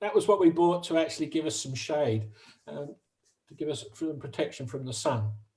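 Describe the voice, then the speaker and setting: A man speaks at a fairly high pitch in a dark, mellow, somewhat breathy tone. His intonation is lively, his loudness swings widely, and his pace is moderate. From UK. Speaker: retired barge owner presenting a talk. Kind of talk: slide presentation talk. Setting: video call.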